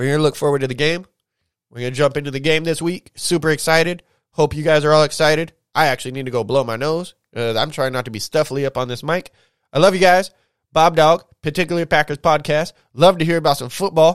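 A very fast, animated male voice, fairly high in pitch, dry and close with no echo on a very clean recording with a silent background. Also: ordinary pitch variation. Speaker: sports podcast host. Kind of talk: casual podcast monologue.

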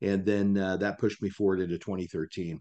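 A man's plain, everyday voice, fairly low, at a fairly quick pace with an American accent over a quiet background. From Kansas. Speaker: mortgage company leader. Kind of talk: podcast interview.

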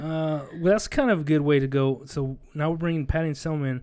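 A man talks at a moderate pace in a normal speaking voice, captured in a very clean recording with a silent background. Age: 30s. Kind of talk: casual chat.

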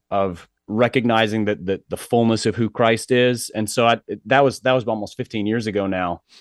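Dry and close with no echo, a normal speaking voice comes through a quiet background at a moderate pace with fairly even intonation. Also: man. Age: 40s. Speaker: author and pastor's kid. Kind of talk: interview conversation.

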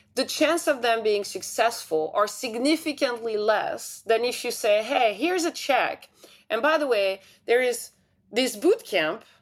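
Here a woman speaks at a fairly slow pace. Her voice is fairly high. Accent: French. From France. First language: French. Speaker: tech investor, CEO of a startup accelerator. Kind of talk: interview.

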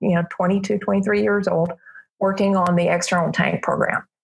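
A somewhat breathy, medium-pitched woman's voice with an American accent and fairly even intonation. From US South, Alabama (Montgomery). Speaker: aerospace project manager. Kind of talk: interview. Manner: hesitant, many fillers.

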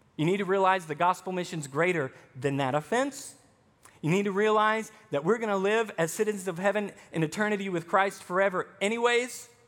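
At a fairly quick pace, a man with an American accent speaks in a high pitch. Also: ordinary pitch variation. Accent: Southern US (Arkansas), somewhat toned down. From Arkansas, US South. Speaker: pastor. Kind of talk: sermon.

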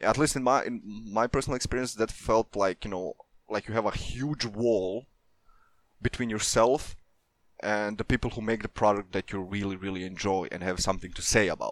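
A man with a plain, everyday voice speaks at a fairly low pitch with fairly even intonation, in a dry, close sound with no echo. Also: fairly quick pace. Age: 20s. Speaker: community manager. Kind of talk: casual interview.

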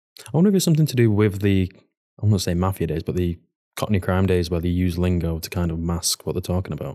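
A man with a Mancunian accent speaks at a very fast pace in a very deep, low voice with a dark, mellow tone and ordinary pitch variation, on a very clean recording with a silent background. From Manchester, northern England. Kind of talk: casual chat.

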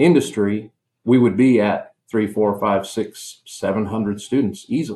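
A man with an American accent and an unremarkable speaking voice, at a fairly slow pace with ordinary pitch variation. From US Midwest (western Nebraska). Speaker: university concrete program director. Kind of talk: interview. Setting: remote call.

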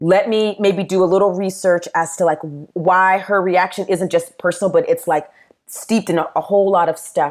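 Keeping a very even loudness and fairly even intonation, a woman talks at a moderate pace in a normal speaking voice with medium pitch. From US South, Tennessee and South Carolina. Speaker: pastor. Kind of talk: casual chat.

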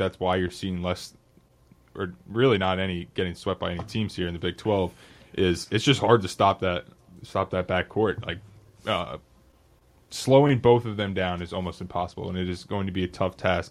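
A man talks at a moderate pace with a very deep, low pitch and fairly even intonation, captured in a very clean recording against a silent background. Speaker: radio host. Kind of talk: casual sports talk show.

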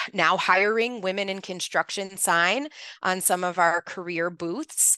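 A woman with an American accent talks at a fairly slow pace in a dry, close sound with no echo. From Chicago, Northwest side. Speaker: marketing communications manager. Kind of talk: interview.

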